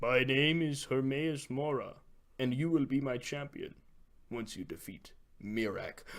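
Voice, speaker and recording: A man puts on a character voice at medium pitch. He talks at a moderate pace. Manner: menacing.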